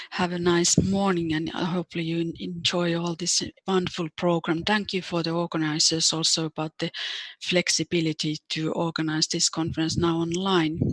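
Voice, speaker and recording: With a Finnish accent, a woman speaks at a moderate pace in a fairly low pitch, using monotone, flat intonation in a dry, close sound with no echo. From Finland. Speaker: psychiatric nurse, organization president. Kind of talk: online conference presentation. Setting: video call.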